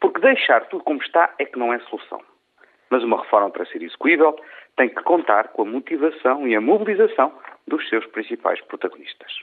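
A man speaks with a European Portuguese accent. His pace is fairly quick. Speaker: radio commentator. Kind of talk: opinion commentary. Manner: formal.

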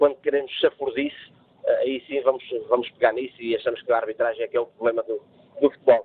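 Talking very quickly, a man stops often for long stretches of silence. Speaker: referees' association president. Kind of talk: radio debate interview. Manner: halting, repetitive; animated.

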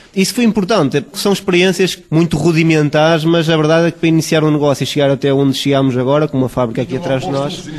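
Against noticeable background noise, a man rushes at a very fast pace with hardly any pauses, his pitch fairly high. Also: ordinary pitch variation. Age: 20s. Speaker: brewery founder and researcher. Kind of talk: interview. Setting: on location at the brewery.

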